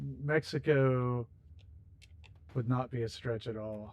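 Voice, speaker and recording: His intonation fairly even, a man talks at a medium pitch. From rural Ohio, edge of Appalachia. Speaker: gaming streamer. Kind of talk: livestream chat while playing. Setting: livestream. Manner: casual, conversational.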